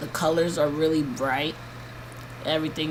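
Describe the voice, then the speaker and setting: Flat, monotone speech comes through with audible room echo and noticeable background noise. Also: woman. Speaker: vlogger giving health update. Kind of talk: video diary. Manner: slow; halting.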